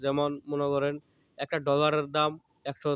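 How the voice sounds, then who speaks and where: The speaker is a man. His pitch is fairly high. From Bangladesh, Mymensingh. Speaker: YouTuber and fruit trader. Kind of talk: outdoor vlog monologue. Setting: outdoors in a lemon orchard.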